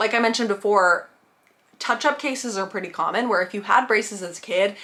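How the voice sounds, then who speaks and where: The speech runs at a fairly quick pace with lively intonation over noticeable background noise. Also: woman. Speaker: content creator. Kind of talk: vlog tutorial. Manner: casual, chatty.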